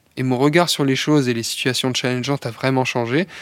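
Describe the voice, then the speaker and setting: A man's medium-pitched, unremarkable speaking voice at a moderate pace, with a dry, close sound and no echo. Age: 30s. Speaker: entrepreneur and health coach. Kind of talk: podcast monologue.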